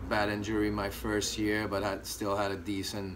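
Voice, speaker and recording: A man's monotone, flat delivery in a French Canadian accent, with audible room echo and noticeable background noise. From Quebec, Canada. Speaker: former college hockey player. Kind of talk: interview. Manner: hesitant, many fillers.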